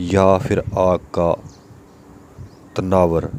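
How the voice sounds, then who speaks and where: A man speaks in a very deep, low pitch. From Pakistan. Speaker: voice over artist. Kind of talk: religious story narration.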